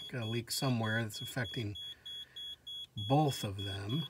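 A man speaks at a fairly slow pace with fairly even intonation. Noticeable background noise is present. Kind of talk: casual vlog chat. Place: garage. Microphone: phone near.

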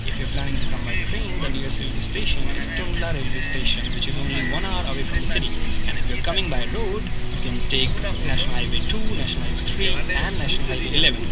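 A man talks at a very fast pace over loud background music. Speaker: travel vlogger. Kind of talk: casual vlog chat. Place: garden. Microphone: phone near.

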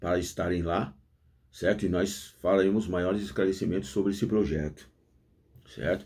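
A man's very deep, low voice, strained, dark and mellow, with vocal fry and ordinary pitch variation. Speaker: former prisoner, YouTuber. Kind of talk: casual monologue. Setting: at home with coffee. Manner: deliberately restrained slang, effortful. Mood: earnest, reflective. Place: office. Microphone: phone near.

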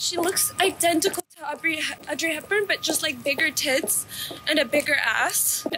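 A woman speaks at an extremely high pitch with ordinary pitch variation over noticeable background noise. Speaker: vlogger. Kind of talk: casual vlog talk to camera. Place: street. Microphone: phone near.

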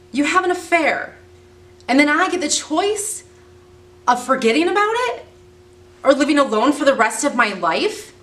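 Speaking at a moderate pace, a woman with a high pitch makes very wide pitch swings and leaves long, frequent pauses. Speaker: actor performing a monologue. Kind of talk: dramatic acting monologue. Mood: angry, hurt, upset. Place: home room.

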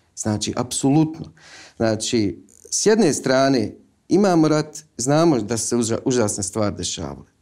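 Over a quiet background, a man talks at a moderate pace with a medium pitch. His tone is dark and mellow, and his pitch swings very widely. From Visoko, Bosnia and Herzegovina; Bosnia and Herzegovina. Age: 30s. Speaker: film director; guest. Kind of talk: interview; interview answer. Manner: halting. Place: studio.

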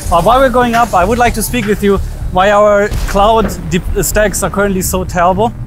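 Over faint music in the background, a man speaks in a high voice with fairly even intonation, the sound dry with no echo. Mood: cheerful, slightly nervous. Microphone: phone near.

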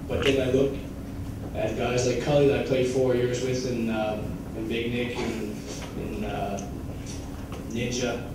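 Strong room echo and noticeable background noise around a man's voice. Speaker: junior hockey player. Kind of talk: farewell banquet speech. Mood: emotional, grateful. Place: hall.

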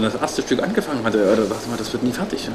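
A man speaks with ordinary pitch variation amid noticeable background noise. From Leipzig, Saxony, eastern Germany; Saxony, Germany. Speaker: painter and artist. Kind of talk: casual interview talk.

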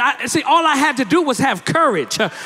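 A man talks at a fairly quick pace in a raised, projected voice. His tone is animated. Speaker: guest preacher, minister. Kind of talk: sermon delivered to a congregation. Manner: animated, emphatic, rhythmic repetition. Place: church. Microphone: handheld.

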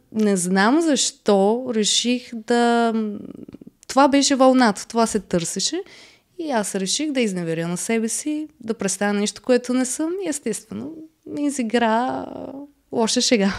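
Over a quiet background, a woman speaks at a fairly slow pace in a fairly high voice. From Bulgaria. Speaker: reality TV contestant; podcast guest. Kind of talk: casual interview. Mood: relaxed, candid. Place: studio. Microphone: studio mic.

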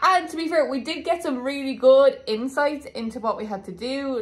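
A woman's moderate pace and ordinary pitch variation. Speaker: travel vlogger. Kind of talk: casual vlog chat. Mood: cheerful, animated. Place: home room. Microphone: phone near.

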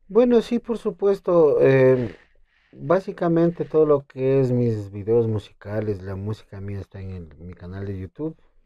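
Against a quiet background, a man speaks at a fairly slow pace. His pitch swings very widely and his loudness swings a lot. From Ecuador, Imbabura (Urcuquí); Imbabura. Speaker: requinto guitarist and composer; guest. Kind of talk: interview. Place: studio. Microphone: lapel.

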